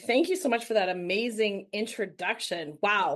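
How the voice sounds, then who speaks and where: A woman talks at a fairly slow pace with lively intonation and a fairly high pitch. She has a plain, everyday voice, and the background is quiet. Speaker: real estate investor. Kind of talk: presentation.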